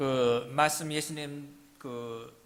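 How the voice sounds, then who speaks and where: The voice carries a slight non-native accent, and audible room echo surrounds it. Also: man. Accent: non-native Korean, good pronunciation. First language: English (speaking Korean). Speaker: missionary pastor. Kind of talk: sermon.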